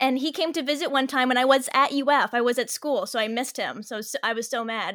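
A woman speaks at a fairly quick pace with an American accent and fairly even intonation. The recording is very clean, with a silent background. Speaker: actor and director. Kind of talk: casual interview chat.

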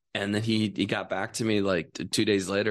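The background is quiet as a man speaks with an Upper Midwest accent. His pitch is fairly low and his pace fairly quick. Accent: Upper Midwest American. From Wisconsin. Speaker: actor and filmmaker. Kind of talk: casual chat. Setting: studio. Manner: halting, repeats words.

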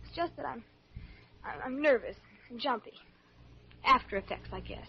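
At a moderate pace, a put-on character voice comes through with lively intonation, vocal fry and a husky, rough edge. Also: woman, high pitch for a woman.

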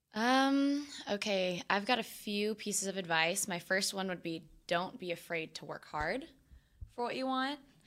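An ordinary speaking voice from a woman, medium in pitch, lively in intonation, at a moderate pace. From Texas, Austin. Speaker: professional cheerleader. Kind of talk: casual chat. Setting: studio.

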